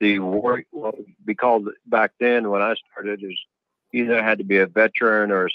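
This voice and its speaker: A man with an American accent, fairly low in pitch, at a moderate pace and in a monotone, flat intonation. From Oklahoma. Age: 60s. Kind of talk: interview.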